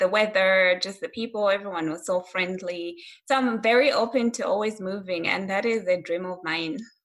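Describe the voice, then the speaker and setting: Speaking with a Malawian accent, a woman keeps a moderate pace and medium pitch with ordinary variation and hardly any pauses. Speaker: critical care nurse. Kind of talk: casual interview.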